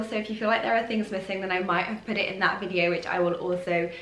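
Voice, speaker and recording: A woman talks at a very fast pace, with audible echo from the room. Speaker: fashion vlogger. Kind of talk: casual vlog chat. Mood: cheerful, chatty. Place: home room.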